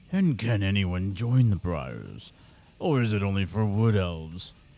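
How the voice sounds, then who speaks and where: A man puts on a character voice, pitched fairly low. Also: moderate pace, ordinary pitch variation. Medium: game stream.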